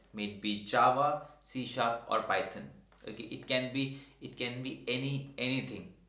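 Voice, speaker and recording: Medium-pitched male speech, ordinary pitch variation, and audible room echo throughout. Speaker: tech educator YouTuber. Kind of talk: tutorial. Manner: fast.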